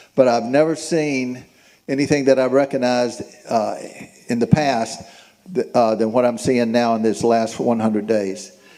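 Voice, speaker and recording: A man with a dark, mellow tone is heard with audible room echo. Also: medium pitch for a man, ordinary pitch variation, moderate pace. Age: 70s. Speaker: town hall attendee. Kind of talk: public comment at town hall. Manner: halting.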